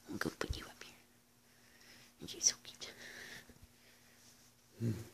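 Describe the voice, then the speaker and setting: Someone is whispering at a moderate pace. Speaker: dog owner filming pet. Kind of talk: affectionate talk to a pet. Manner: whispered. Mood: affectionate, playful. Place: home room. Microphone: phone near.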